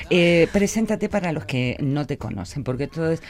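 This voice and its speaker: A woman's very deep, low voice at a moderate pace over noticeable background noise. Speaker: radio host. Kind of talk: radio interview. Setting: radio studio.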